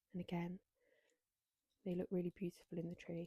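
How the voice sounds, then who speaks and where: A woman's somewhat breathy, fairly low voice with a dark, mellow tone and a dry, close sound with no echo. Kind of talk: ASMR show and tell. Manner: soft-spoken.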